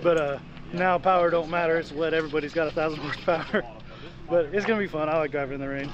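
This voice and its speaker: A man at a very fast pace with fairly even intonation, dry sound with no echo, and noticeable background noise. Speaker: drift driver vlogger. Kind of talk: casual vlog chat. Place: open country. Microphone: phone near.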